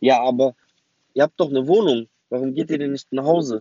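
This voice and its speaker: The speaker is a man with a non-native accent. His pitch sits fairly high. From West Berlin, Germany. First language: not German (speaking German). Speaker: memoir narrator. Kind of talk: autobiographical storytelling. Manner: casual with many hesitations.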